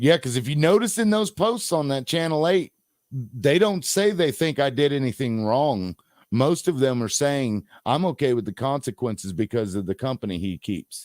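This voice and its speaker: On a very clean, dry and close recording with no echo and a silent background, a man talks at medium pitch and a moderate pace with very wide pitch swings. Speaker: podcast host. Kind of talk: casual chat. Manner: gets louder and higher when excited.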